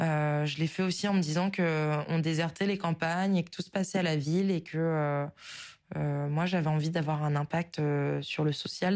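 Against a quiet background, a woman with a fairly low voice speaks at a fairly slow pace with fairly even intonation. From northern France, southern Oise (Picardy). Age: 20s. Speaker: listener leaving voice message. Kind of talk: recorded voice message. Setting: voice memo sent to show. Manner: hesitant, many fillers.

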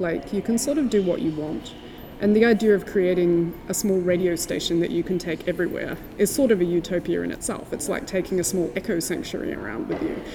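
A woman with an Australian accent talks at a fairly quick pace with lively intonation. Her pitch is medium, and there is noticeable background noise. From Tasmania, Australia. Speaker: sound artist. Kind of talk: interview. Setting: gallery.

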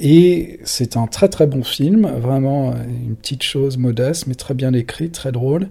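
Dark and mellow yet fairly high-pitched, a man's somewhat breathy voice moves at a very slow pace with ordinary pitch variation and hardly any pauses. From France, adolescence in London. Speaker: magazine journalist and editor. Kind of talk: casual interview. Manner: hesitant, many fillers.

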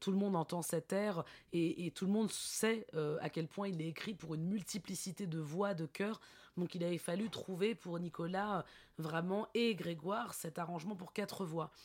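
Her intonation fairly even, a woman talks at a fairly low pitch. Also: moderate pace. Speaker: theatre director. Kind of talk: interview. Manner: hesitant, many fillers.

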